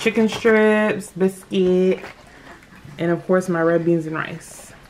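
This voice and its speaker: A woman at a very slow pace, fairly even intonation, light background noise. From United States. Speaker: mukbang YouTuber. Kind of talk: casual vlog chat while eating. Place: home room. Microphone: phone near.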